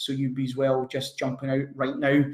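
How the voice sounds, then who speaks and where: Somewhat breathy, this voice moves at a fairly quick pace in a Scottish accent. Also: man. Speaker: online business coach. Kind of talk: webinar sales pitch. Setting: online webinar. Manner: energetic.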